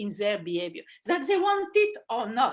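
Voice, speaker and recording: Speaking fairly slowly, a woman has a French accent. Her pitch swings very widely. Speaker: philosopher and children's author. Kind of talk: online talk. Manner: halting, many fillers.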